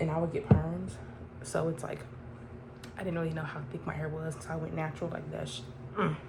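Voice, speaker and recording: A soft-spoken woman talks at a very fast pace yet with long, frequent pauses, amid noticeable background noise and audible room echo. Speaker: vlogger. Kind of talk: casual chat. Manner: conversational, many fillers.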